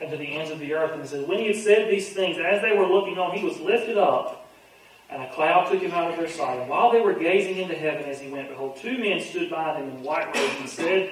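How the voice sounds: A man's fairly high voice, fairly quick and lively in intonation, in strong room echo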